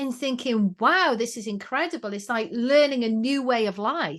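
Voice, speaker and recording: At a moderate pace, a woman with a Welsh accent speaks in a high pitch with lively intonation. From Wales. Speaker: education trainer and channel swimmer. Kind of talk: podcast interview.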